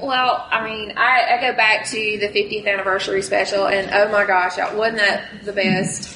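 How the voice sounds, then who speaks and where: Over noticeable background noise, a woman with a Southern US accent speaks at a moderate pace, her fairly high pitch varying in an ordinary way. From rural Mississippi. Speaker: costuming fan group leader. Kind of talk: convention panel talk.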